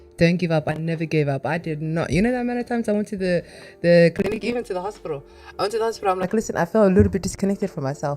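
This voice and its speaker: Music plays in the background. The speech comes at a very fast pace. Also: woman, medium pitch for a woman, ordinary pitch variation. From Somalia (Somali descent). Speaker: mental health advocate, trauma survivor. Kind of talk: interview.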